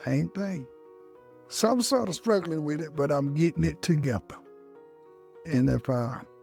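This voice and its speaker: Backed by music, a man talks at a moderate pace and a fairly high pitch with very wide pitch swings. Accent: American. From Melbourne, Australia, then North Carolina. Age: 60s. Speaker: Vietnam veteran, barber student. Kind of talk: interview answer. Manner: casual, conversational.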